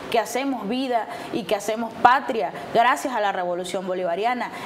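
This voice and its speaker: With noticeable noise in the background, this woman talks in a fairly high voice. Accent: Venezuelan. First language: Warao (speaking Spanish). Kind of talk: TV interview, political speech. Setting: TV studio.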